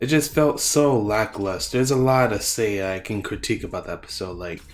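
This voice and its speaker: Music plays behind a man who speaks at a fairly quick pace with ordinary pitch variation. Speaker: anime reviewer. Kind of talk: casual video review. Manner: casual, halting with fillers.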